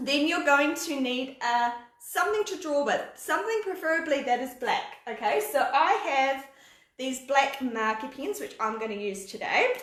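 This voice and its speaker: In a New Zealand accent, a woman speaks at a moderate pace in a high pitch with very wide pitch swings. Her tone is animated, and the room echo is audible. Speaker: art teacher. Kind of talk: live online drawing class for kids. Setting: live video stream.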